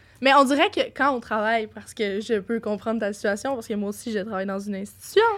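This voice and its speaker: Very fast and with hardly any pauses, a woman speaks at a fairly high pitch with ordinary pitch variation and big swings in loudness over noticeable background noise. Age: young. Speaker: podcast guest. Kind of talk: casual chat.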